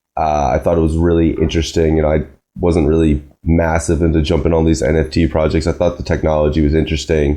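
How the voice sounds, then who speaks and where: In an American accent, a man speaks very fast with a very deep, low pitch and a dark, mellow tone. His intonation is monotone and flat, and his loudness very even. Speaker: podcast host. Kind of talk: casual chat.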